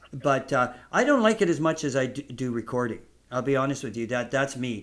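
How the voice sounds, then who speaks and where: A man's fairly quick, lively voice on a very clean recording with a silent background. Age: 60s. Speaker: podcast host and songwriter. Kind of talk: casual chat. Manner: halting.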